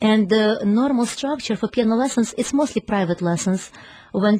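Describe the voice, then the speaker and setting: In a Ukrainian accent, a woman speaks at a fairly quick pace with a fairly high pitch, a somewhat breathy sound, and a dark, mellow tone. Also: dry, close sound with no echo. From Ukraine. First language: Ukrainian or Russian. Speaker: piano teacher and music school founder. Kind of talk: radio interview. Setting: radio studio.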